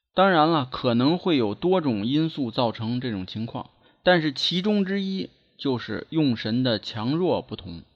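At a fairly slow pace, a man talks in a fairly high pitch with very wide pitch swings and a slight Beijing accent. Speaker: feng shui and divination teacher. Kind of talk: solo lecture podcast. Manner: measured, filler-heavy (呢).

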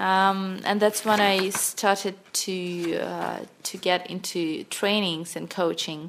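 In a Russian accent, a woman speaks at a very slow pace with monotone, flat intonation. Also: medium pitch for a woman. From Russia, Sakhalin Island (Russian Far East). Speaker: NLP coach and corporate trainer. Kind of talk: interview.

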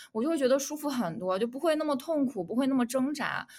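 A woman's voice, high in pitch. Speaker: podcast co-host. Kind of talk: casual chat.

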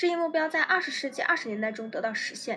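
A high-pitched woman with lively intonation at a fairly quick pace, amid noticeable background noise. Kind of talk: history documentary narration, read aloud from a script. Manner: formal, measured and steady, lecture-like; serious, even-paced delivery with an authoritative tone.

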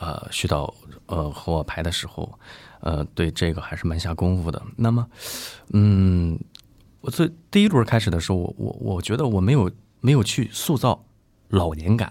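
Very deep and low, a man's voice carries a dark, mellow tone and lively intonation at a moderate pace. Long pauses come often, and the recording is very clean with a silent background. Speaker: stage actor. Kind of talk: casual chat. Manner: halting.

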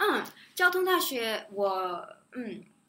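The speaker is a woman with a non-native accent. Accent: noticeable non-native accent in Chinese. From Shanghai and the US (near Chicago), mixed upbringing. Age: 20s. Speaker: international school graduate. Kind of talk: interview. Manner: soft-spoken.

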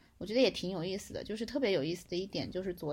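Here a woman is speaking. Her voice is medium in pitch. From Hunan, China. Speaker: friend of the host, former student abroad. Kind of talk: casual chat. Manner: animated.

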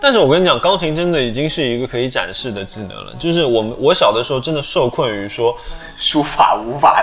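The speaker moves at a fairly quick pace with lively intonation while music plays in the background. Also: man, medium pitch for a man. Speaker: podcast host. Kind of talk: casual chat.

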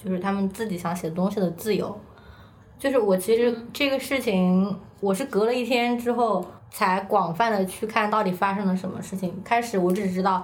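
In a Hunan accent, a somewhat breathy woman with medium pitch and ordinary pitch variation speaks at a moderate pace with audible room echo. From China, Hunan. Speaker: staff writer. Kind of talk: casual chat.

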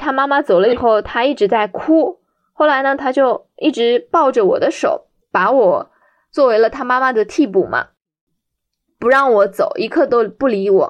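Her pitch is high, and the woman's intonation is lively. She keeps a moderate pace. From Shanghai, China. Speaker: special education teacher. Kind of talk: personal storytelling.

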